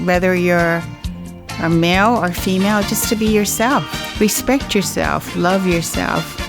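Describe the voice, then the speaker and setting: A woman's fairly slow speech with music in the background. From Guam. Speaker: singer. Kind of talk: interview answer.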